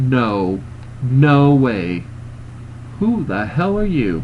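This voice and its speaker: Very slow, put-on character voice from a man at medium pitch, with clear background noise. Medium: read story. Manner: disbelieving, blunt.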